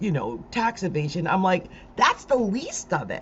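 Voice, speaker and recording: A woman's animated, medium-pitched voice with an American accent and very wide pitch swings. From South Jersey, Delaware Valley. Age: 60s. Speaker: astrologer. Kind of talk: live stream commentary.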